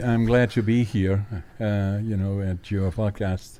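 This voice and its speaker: A man delivers his words at a very slow pace against noticeable background noise. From Netherlands. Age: 80s+. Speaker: forest products company founder. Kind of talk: podcast interview. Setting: campus radio station studio.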